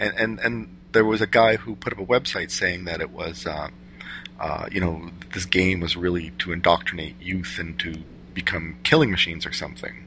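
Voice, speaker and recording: A man with an American accent speaks at a moderate pace with a very deep, low pitch. His tone is bright and sharp, with vocal fry. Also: ordinary pitch variation. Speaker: podcast host. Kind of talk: casual interview chat.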